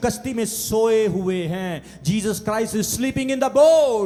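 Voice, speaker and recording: The voice sounds energetic, with ordinary pitch variation. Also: man. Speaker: preacher, pastor. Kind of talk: church sermon. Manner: energetic, call-and-response preaching.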